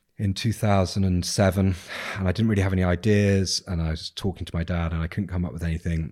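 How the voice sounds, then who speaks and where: A man with a southern English accent, very deep and low in pitch, at a very fast pace with fairly even intonation, on a very clean recording with a silent background. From England, South Coast. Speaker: business owner and investor. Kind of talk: casual chat. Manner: hesitant, many fillers.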